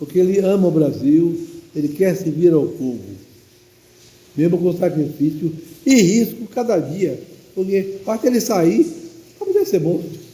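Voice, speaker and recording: A high-pitched man at a fairly slow pace, with audible room echo. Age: 80s+. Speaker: priest. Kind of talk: sermon.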